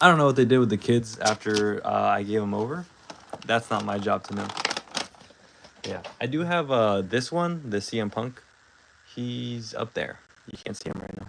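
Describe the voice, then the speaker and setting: This man speaks at a moderate pace and medium pitch with lively intonation, big swings in loudness and long, frequent pauses over noticeable background noise. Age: 20s. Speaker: toy unboxing live streamer. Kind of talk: casual live stream chat. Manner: soft-spoken, can't raise voice; halting, many fillers.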